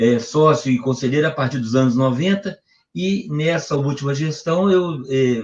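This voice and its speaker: A man with a somewhat breathy, fairly high voice talks at a moderate pace. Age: 60s. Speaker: football club council member. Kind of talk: debate.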